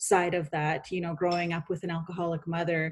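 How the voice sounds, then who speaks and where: This woman's voice sits at a fairly low pitch. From Canada, British Columbia interior (Penticton reserve). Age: 40s. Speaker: author and speaker. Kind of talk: podcast interview, personal testimony.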